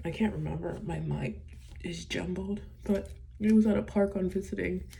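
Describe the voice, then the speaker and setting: A woman at a moderate pace, with audible room echo. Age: 20s. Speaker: vlogger. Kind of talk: personal vlog monologue. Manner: halting.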